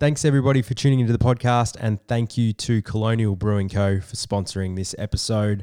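His intonation stays fairly even and his pitch medium. The man talks very fast. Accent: Australian. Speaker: podcast host. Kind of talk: casual interview.

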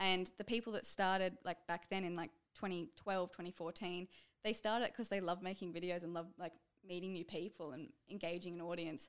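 A woman with an Australian accent, fairly low in pitch, at a moderate pace with fairly even intonation. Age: 20s. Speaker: YouTuber. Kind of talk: casual chat. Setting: studio.

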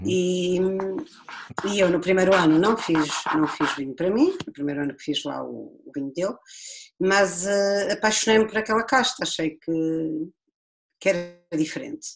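In a very clean recording with a silent background, a woman speaks at a moderate pace with lively intonation, long, frequent pauses and big swings in loudness. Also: medium pitch for a woman. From Portugal, Viseu district (Dão). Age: 40s. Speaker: winemaker. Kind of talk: casual chat.

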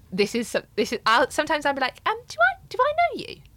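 A woman speaks very fast in a raised, projected voice, her bright, sharp tone leaping through very wide pitch swings. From English Midlands. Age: 30s. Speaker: podcast guest. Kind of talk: casual chat. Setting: studio.

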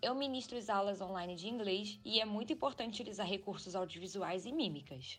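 A woman talks fairly quickly in a normal speaking voice, her pitch varying in an ordinary way. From Brazil, Rio de Janeiro. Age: 20s. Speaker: English teacher. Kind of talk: interview answer.

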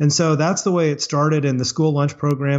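At a fairly quick pace, a man with an American accent speaks in a fairly high pitch with monotone, flat intonation. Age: 50s. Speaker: chocolate maker and former lawyer. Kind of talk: interview.

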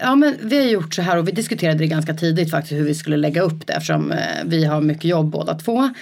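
A woman's very fast, very deep, low voice with very even loudness and ordinary pitch variation, over noticeable background noise. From rural Sweden, Rö. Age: 30s. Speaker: entrepreneur. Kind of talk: casual interview. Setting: studio, coworking space.

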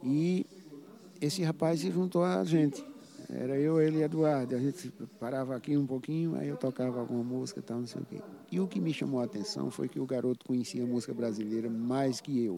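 A man talks at a fairly quick pace in a plain, everyday voice. His pitch sits in the medium range. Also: lively intonation. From Paraíba, Brazil (interior). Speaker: saxophonist. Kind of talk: interview.

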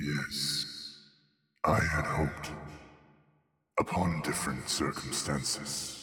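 A man does a put-on character voice at a very slow pace, with extremely low pitch and fairly even intonation. The tone is bright, sharp and resonant.

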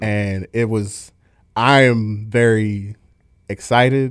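A man's fairly low voice with fairly even intonation, in a Baltimore accent. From Baltimore, Maryland. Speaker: drummer and band manager. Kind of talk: casual interview chat. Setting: studio.

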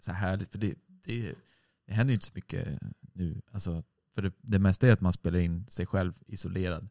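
This man's very deep, low voice moves with ordinary pitch variation. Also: moderate pace. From Sweden, Stockholm (Hägersten). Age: 20s. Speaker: musician in a band. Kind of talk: casual chat.

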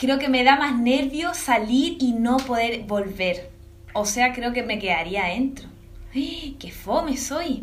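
A woman with a Chilean accent speaks very slowly in a high voice with lively intonation. Audible room echo and noticeable background noise are in the recording. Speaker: cellist and singer-songwriter. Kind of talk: interview.

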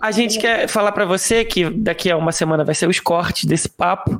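On a very clean recording with a silent background, the voice proceeds at a moderate pace. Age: 30s. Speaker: podcast co-host. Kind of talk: casual chat.

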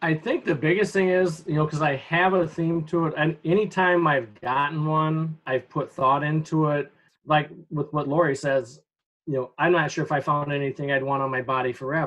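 At a moderate pace, a man with a plain, everyday voice speaks in a fairly high pitch with fairly even intonation. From Upper Peninsula of Michigan. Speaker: high school teacher. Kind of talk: interview. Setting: video call.

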